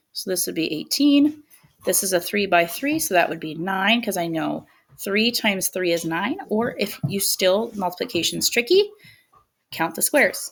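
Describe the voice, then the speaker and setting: Using lively intonation, a woman speaks in an unremarkable speaking voice at a medium pitch. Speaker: elementary school teacher. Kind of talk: recorded video lesson.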